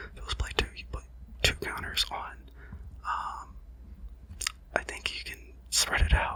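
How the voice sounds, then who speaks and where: Whispering at a fairly slow pace, broken by long, frequent pauses, over noticeable background noise. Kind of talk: casual ASMR card-opening commentary talking through each card. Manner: whispered, soft-spoken; hesitant, rambling, with frequent filler words.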